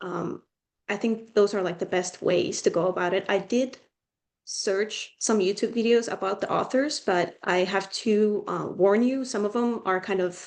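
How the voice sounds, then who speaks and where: A woman at medium pitch with a Finnish accent, fairly slow pace and fairly even intonation. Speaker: student tutor. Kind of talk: casual advice talk.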